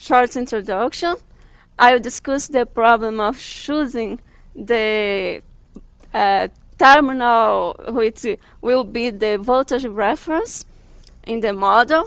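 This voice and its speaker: A woman with a strong Brazilian accent speaks in a high pitch with ordinary pitch variation. Her pace is very slow, with long, frequent pauses. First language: Portuguese. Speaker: guest lecturer. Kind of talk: lecture. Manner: halting.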